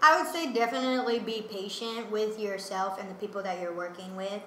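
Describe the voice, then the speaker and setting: Amid noticeable background noise and audible room echo, a woman talks at a very fast pace. Her medium pitch shows ordinary variation. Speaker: musician and comedian. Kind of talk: casual interview chat.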